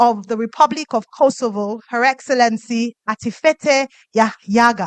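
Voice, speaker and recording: Against a quiet background, a woman with a Nigerian accent speaks at a high pitch in a dry, close sound with no echo. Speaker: event emcee. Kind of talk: event emceeing. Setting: stage with audience.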